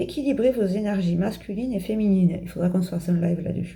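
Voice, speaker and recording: This woman talks at a fairly quick pace in a fairly low pitch, with a dark, mellow tone, vocal fry and ordinary pitch variation. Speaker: tarot card reader. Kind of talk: card reading for viewers. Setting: home video, in pyjamas. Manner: fast.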